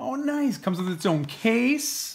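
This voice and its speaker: A fairly slow pace, lively intonation and an upbeat tone. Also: man. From Canada. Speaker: lifestyle mentor, personal trainer. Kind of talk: casual unboxing talk to camera. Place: home room. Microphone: phone near.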